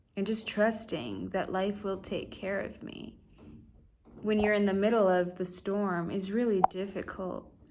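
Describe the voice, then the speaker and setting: A woman speaks with an American accent in a flat monotone. Room echo is audible around her voice. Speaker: vlogger. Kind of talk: casual vlog monologue. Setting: talking to camera. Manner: halting, many fillers.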